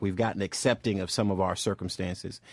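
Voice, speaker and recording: Against a quiet background, the sound is dry and close with no echo, and the pace is fairly quick. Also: man. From Boston, Massachusetts. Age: 40s. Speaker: civil rights organization leader. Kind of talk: radio talk show interview.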